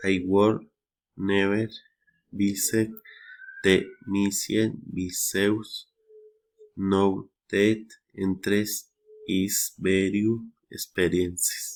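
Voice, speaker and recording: A man's fairly low voice in a Spanish accent, very slow and flat in intonation, with very even loudness and long, frequent pauses. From Colombia. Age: 30s. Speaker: English learner. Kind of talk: reading aloud. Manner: halting.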